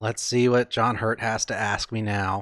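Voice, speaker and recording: There is a male speaker. No noise can be heard behind him. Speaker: game streamer. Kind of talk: casual gameplay commentary. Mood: amused, joking. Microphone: studio mic.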